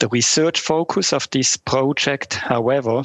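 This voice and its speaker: A plain, everyday voice at a moderate pace, with ordinary pitch variation and a dry, close sound with no echo. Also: man. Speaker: startup business lead. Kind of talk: interview. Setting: remote call.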